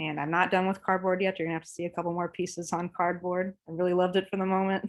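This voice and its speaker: At a very fast pace, a woman with an American accent speaks in a monotone, flat intonation. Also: medium pitch for a woman. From Oklahoma, Claremore. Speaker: visual artist. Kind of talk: artist talk over video call. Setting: video call.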